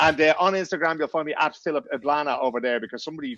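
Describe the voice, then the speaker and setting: A man's fairly high voice with a Dublin accent, very fast pace and lively intonation, in a dry, close sound with no echo. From Ireland, Dublin. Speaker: journalist and podcaster. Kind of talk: casual podcast chat.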